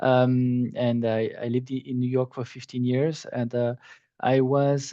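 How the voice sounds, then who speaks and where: A man talks at a moderate pace in a monotone with flat intonation. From France. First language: French. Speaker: hospitality executive. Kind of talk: webinar interview. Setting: online webinar.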